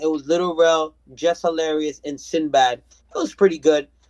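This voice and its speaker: Here a man talks in an ordinary speaking voice, fairly high in pitch and at a moderate pace. The sound is dry and close, with no echo. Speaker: podcast co-host. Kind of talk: casual chat.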